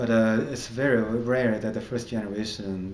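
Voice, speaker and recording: In a Chinese accent, a man speaks at a moderate pace with monotone, flat intonation amid audible room echo. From China. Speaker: comedian. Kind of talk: interview. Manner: halting, with fillers.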